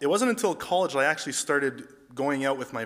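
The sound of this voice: A man talks at a fairly quick pace in a fairly bright tone.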